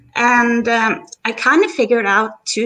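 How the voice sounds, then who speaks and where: Her tone is bright and sharp, with a fairly high pitch. The woman speaks with a non-native accent. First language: not English. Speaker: viewer joining a live stream. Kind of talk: casual chat. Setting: live stream call from computer. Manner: halting. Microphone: echo, feedback.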